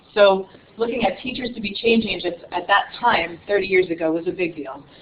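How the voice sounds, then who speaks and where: The speech moves at a fairly quick pace with ordinary pitch variation, and there is noticeable background noise. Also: woman. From New York City. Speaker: nonprofit director presenting to teachers. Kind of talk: conference presentation. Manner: fast.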